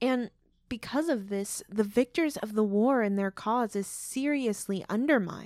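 A woman with an American accent speaks at a fairly slow pace in a plain, everyday voice, fairly high in pitch with ordinary pitch variation, in a very clean recording with a silent background and a dry, close sound with no echo. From Oklahoma. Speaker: podcast co-host. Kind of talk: scripted podcast discussion.

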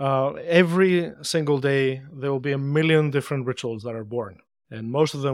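Speaking at a moderate pace with ordinary pitch variation, a man talks with a Greek accent. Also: very clean recording, silent background. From Greece. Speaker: anthropologist. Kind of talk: interview.

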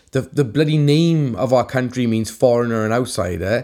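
A man with a Welsh accent speaks at a moderate pace in a medium pitch, his dark, mellow tone carried by lively intonation on a very clean recording with a silent background.

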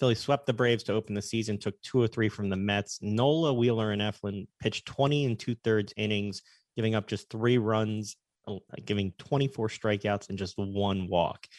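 A man speaks at a moderate pace in an ordinary speaking voice, his fairly low pitch held to a fairly even intonation, with a dry, close sound and no echo. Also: quiet background. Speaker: sports radio co-host. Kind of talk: sports talk radio show. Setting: radio broadcast.

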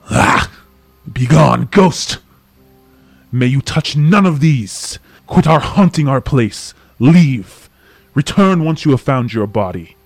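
Over music in the background and some hissing, a man puts on a character voice with a fairly high pitch. He talks at a fairly slow pace, with long, frequent pauses. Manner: hissing, angry, fearful.

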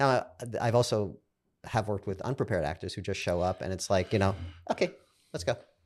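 With a Brooklyn accent, a man talks at a very fast pace broken by long, frequent pauses, with ordinary pitch variation, on a very clean recording with a silent background. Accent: New York, Brooklyn. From Brooklyn, New York. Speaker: podcast host and showrunner. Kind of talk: interview conversation.

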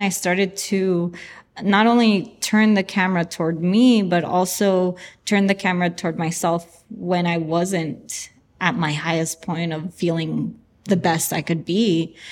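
Someone with a Spanish accent speaks with fairly even intonation in a very clean recording with a silent background. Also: woman, fairly low pitch for a woman, fairly slow pace. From US, San Francisco (born in Chihuahua, Mexico). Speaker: artist. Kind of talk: interview testimony.

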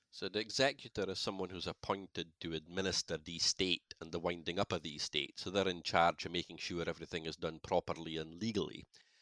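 Very fast and with hardly any pauses, a man speaks with a Shetland accent at a very deep, low pitch. His tone is bright and sharp, and his intonation stays fairly even. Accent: Shetland Scottish. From Shetland, Scalloway. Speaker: crofting law solicitor. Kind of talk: interview, explanatory.

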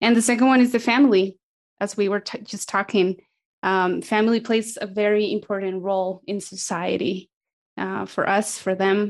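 A medium-pitched woman with a Spanish accent, fairly even intonation and a moderate pace against a quiet background. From South America. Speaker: missionary mobilizer. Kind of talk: interview conversation.

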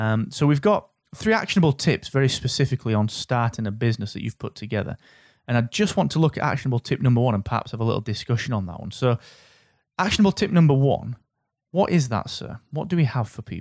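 Over a silent background on a very clean, dry, close recording with no echo, a man speaks very fast at a medium pitch with very wide pitch swings. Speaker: podcast host. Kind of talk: interview.

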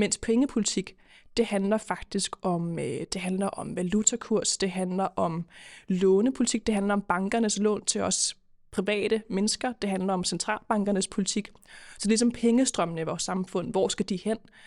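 A woman has an ordinary speaking voice at medium pitch, with fairly even intonation and a moderate pace. The recording is very clean, with a silent background and a dry, close sound with no echo. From Denmark, Køge (Zealand). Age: 20s. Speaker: politician. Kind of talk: podcast interview. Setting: studio.

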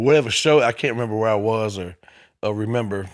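In a very clean recording with a silent background, a man talks with ordinary variation in pitch. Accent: Memphis. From US South, Memphis, Tennessee. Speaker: comedian. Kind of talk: casual chat.

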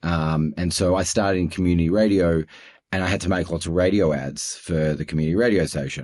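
A man with an Australian accent speaks in a very deep, low pitch with fairly even intonation against a quiet background. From Australia (Melbourne). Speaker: audio production executive. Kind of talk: interview conversation. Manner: hesitant, many fillers.

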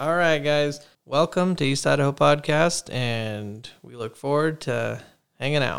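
An unremarkable speaking voice comes from a man with an American accent, talking at a fairly slow pace and fairly high pitch with ordinary pitch variation on a very clean recording with a silent background. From Arizona. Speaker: podcast co-host. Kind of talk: casual chat.

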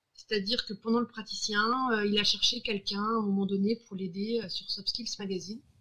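A woman with a fairly high pitch keeps her intonation fairly even and her pace moderate. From Brittany, France. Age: 30s. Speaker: creative facilitator and coach. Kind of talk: interview. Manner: halting, many repetitions and fillers.

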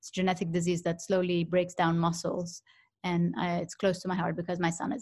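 In a very clean recording with a silent background, a woman talks at a fairly quick pace in a fairly low, somewhat breathy voice with monotone, flat intonation. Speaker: professional negotiator. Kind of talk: interview.

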